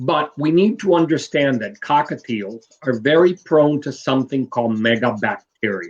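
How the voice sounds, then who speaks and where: With lively intonation and hardly any pauses, a man talks at a fairly high pitch. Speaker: bird breeder. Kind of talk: live video interview. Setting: live online stream. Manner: slow, deliberate.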